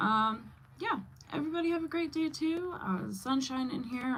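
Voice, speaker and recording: You can hear a woman talking. The room around her adds an audible echo. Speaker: livestreamer and mom. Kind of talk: casual livestream chat. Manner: stumbling when excited.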